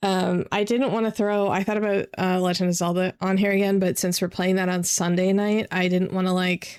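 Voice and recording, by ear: A woman speaks at a moderate pace with a fairly low pitch and a slightly mellow tone. Her intonation stays fairly even, and the very clean recording has a silent background.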